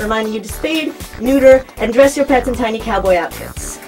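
With faint music in the background, a woman speaks at a moderate pace using ordinary pitch variation. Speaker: college radio talk show host. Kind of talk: late-night talk show banter, comedic. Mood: playful, amused. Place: studio.

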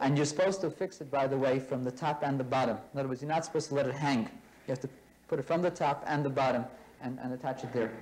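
Very fast and fairly high-pitched, a man speaks with fairly even intonation. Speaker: religious studies teacher. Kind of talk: classroom lecture. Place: classroom. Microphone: old recording.

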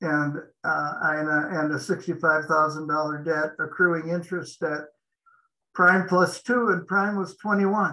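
Against a quiet background, a man with an American accent speaks at a very slow pace, with a bright, sharp tone, high pitch and fairly even intonation. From Montana, US. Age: 70s. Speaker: franchise business consultant; interviewee. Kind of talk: interview. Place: home room. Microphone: video call.

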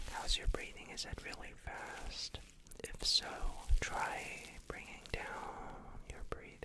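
A man whispers at a fairly slow pace, with long pauses coming often. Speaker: ASMR creator. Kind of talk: guided meditation. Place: home room. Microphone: studio mic.

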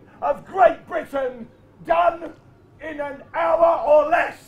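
A man shouts over crowd noise in the background. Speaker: storyteller. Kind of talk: live comedy history stage show. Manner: energetic. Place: stage. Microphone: pa.

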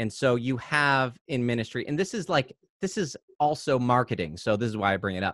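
Here a man talks at a fairly quick pace with lively intonation. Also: quiet background, dry sound with no echo. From South Carolina (US South). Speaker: YouTuber. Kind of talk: casual interview. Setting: video call. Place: home room. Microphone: studio mic.

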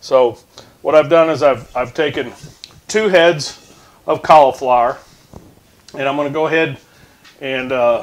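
Fairly slow speech from a man, ordinary pitch variation. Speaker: home cook host. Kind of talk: tutorial. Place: kitchen. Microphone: lapel.

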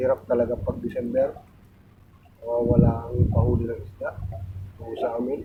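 The speech moves at a moderate pace, broken by long, frequent pauses and big swings in loudness. Noticeable background noise runs underneath. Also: man. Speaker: fisherman vlogger. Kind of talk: casual vlog narration. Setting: outdoors at sea on a boat.

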